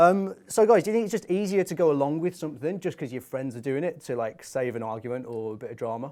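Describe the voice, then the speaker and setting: Speaking very fast with hardly any pauses, a man with a Birmingham accent has a dark, mellow tone, a fairly high pitch and very wide pitch swings. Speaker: youth talk show host. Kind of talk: casual chat. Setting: studio.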